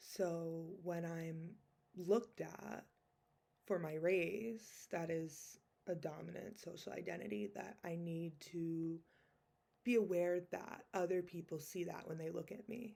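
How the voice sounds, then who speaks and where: A woman's fairly low voice with an American accent, ordinary pitch variation and a very slow pace. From United States. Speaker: social work student. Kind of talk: class presentation.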